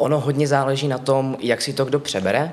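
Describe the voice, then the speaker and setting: His pitch sits in the medium range, and the pace is moderate. This man has a plain, everyday voice. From Czechia, Ostrava. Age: 20s. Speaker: puppy play titleholder. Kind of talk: casual interview.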